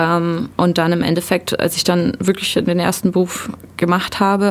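A woman speaks at a fairly slow pace in a plain, everyday voice. Her pitch is fairly low and her intonation fairly even. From southern Germany (Ulm), born in eastern Germany. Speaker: mechatronics technician. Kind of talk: radio interview.

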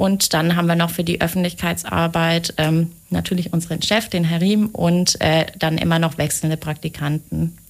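A woman's fairly low-pitched voice at a moderate pace, with monotone, flat intonation and hardly any pauses. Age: 20s. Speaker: project manager at a city European office. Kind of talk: radio interview. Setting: radio studio.

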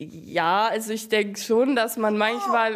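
This woman's voice sits at a fairly high pitch. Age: young (18). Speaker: sister of a teen with Tourette. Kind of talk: interview.

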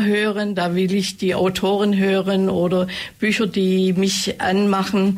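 A woman with a medium-pitched voice speaks at a very slow pace. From Ravensburg, Upper Swabia, Germany. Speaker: author. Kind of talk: interview chat.

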